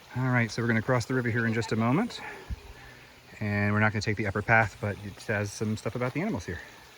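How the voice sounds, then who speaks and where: A man with an American accent at a very fast pace, medium pitch and fairly even intonation, amid noticeable background noise. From US South, Greenville County, South Carolina. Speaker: hiking vlogger. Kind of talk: outdoor walking vlog narration. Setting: outdoors on a hiking trail. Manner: casual, conversational.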